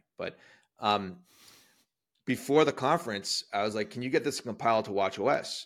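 On a very clean recording with a silent background, a man in a plain, everyday voice speaks at medium pitch and a moderate pace with ordinary pitch variation. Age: 40s. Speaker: tech company CEO and software developer. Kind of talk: casual chat.

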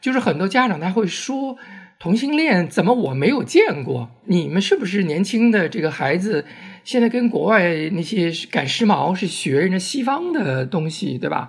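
With noticeable background noise behind him, a man talks at a moderate pace in a high voice that makes very wide pitch swings. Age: 60s. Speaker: LGBT community volunteer and oral history project organizer. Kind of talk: casual interview conversation.

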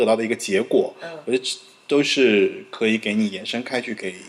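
Noticeable background noise runs behind a man who speaks at a fairly quick pace. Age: middle-aged. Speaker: podcast host. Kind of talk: casual interview conversation.

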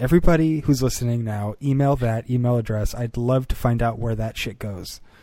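A man speaks at medium pitch and a moderate pace. His tone is dark and mellow, with ordinary pitch variation. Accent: American. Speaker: podcast co-host. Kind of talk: casual chat.

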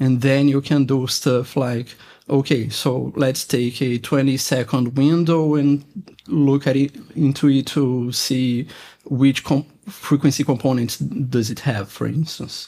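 A man at medium pitch, fairly slow and fairly even in intonation, with a dark, mellow tone. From Brazil. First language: Portuguese. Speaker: electronics engineer, software developer. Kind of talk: technical interview. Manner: halting.

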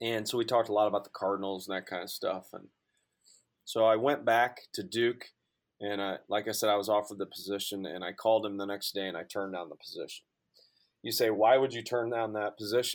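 Delivered at a very fast pace in a St. Louis accent, the speech has fairly even intonation on a very clean recording with a silent background. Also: man, fairly low pitch for a man. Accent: Midwestern American (St. Louis area). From Southern Illinois, near St. Louis. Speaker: college sports information director. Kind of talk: casual interview.

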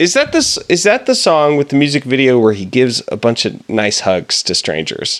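A man with a fairly high voice speaks at a moderate pace, with hardly any pauses. His pitch swings very widely. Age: 20s. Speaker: podcast co-host. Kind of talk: casual chat.

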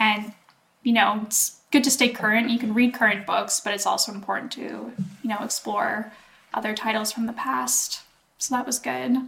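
With a Canadian accent, a woman speaks at a fairly high pitch and a moderate pace with lively intonation. She has an ordinary speaking voice. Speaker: podcast co-host. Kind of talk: casual chat.

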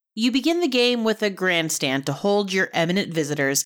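On a very clean recording with a silent background, a woman with a medium pitch speaks at a moderate pace in a playful tone, her pitch swinging very widely. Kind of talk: carnival barker pitch. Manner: playful and tongue-in-cheek, then drops into a plain review tone.

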